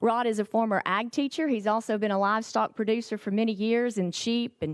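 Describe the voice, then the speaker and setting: Against a quiet background, a woman with a fairly high pitch speaks at a fairly quick pace, the sound dry and close with no echo. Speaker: agricultural trade association executive. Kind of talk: committee testimony presentation. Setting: legislative hearing room. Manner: fast.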